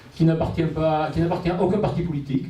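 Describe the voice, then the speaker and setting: Amid noticeable background noise and audible room echo, a man speaks at a fairly quick pace with a southwestern French accent. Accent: southwestern French, kept. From Gironde, southwest France. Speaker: local election candidate. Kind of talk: public speech. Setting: public meeting with audience. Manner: halting, many fillers.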